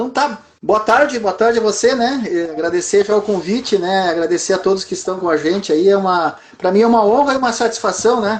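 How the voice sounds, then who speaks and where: High-pitched with ordinary pitch variation, this man talks at a fairly quick pace. He leaves hardly any pauses. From southern Brazil (Rio Grande do Sul). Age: 60s. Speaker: entrepreneur. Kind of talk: interview. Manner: halting, frequent fillers.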